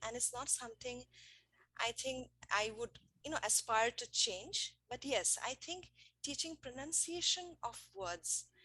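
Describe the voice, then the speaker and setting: Her high-pitched voice has a bright, sharp tone and lively intonation. This woman speaks at a fairly slow pace. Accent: non-native. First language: not English. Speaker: English teacher. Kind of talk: panel discussion. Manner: hesitant, with fillers.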